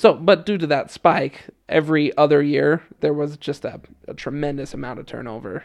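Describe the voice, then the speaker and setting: A normal speaking voice talks at a moderate pace. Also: man. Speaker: former missionary, student. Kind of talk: casual interview.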